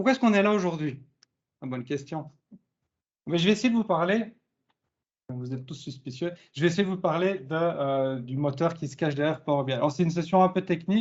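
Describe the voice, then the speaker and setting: A man's high-pitched voice at a fairly quick pace, with lively intonation, big swings in loudness and long, frequent pauses. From southern Belgium, Charleroi. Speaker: IT consultant, conference speaker. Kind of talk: conference talk. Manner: casual, lively.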